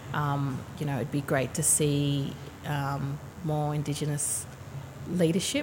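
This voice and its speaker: A woman speaks with an Australian accent in a very deep, low pitch. Her intonation stays fairly even. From Sydney, Australia. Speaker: university HR manager. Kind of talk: casual interview. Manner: halting.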